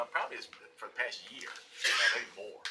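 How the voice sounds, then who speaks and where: Noticeable background noise around a man speaking at a moderate speed. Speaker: city manager. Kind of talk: formal city council work session presentation. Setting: council chamber meeting.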